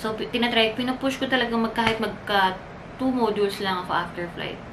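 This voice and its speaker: Over noticeable background noise, a woman talks at a moderate pace with a fairly high pitch and ordinary pitch variation. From Philippines. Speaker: flight attendant vlogger. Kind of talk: casual vlog talk. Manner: animated. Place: home room. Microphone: camera far.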